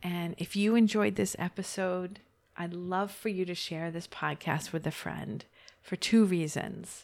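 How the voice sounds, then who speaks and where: A woman talks in an ordinary speaking voice, fairly low in pitch with ordinary pitch variation, at a fairly slow pace in a very clean recording with a silent background. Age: 40s. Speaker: podcast host, life coach. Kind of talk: solo podcast monologue. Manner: warm, laughs often.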